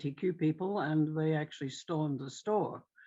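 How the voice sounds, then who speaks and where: A woman's very deep, low voice with a dark, mellow tone, at a moderate pace with fairly even intonation. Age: 70s. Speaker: workshop participant. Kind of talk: group discussion. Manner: halting, many fillers.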